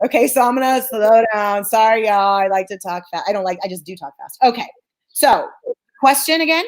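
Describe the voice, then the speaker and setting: A woman talks at a fairly quick pace in a fairly high pitch. Her intonation is lively, and her loudness swings widely. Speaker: clinical psychologist. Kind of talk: interview. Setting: live stream. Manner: fast.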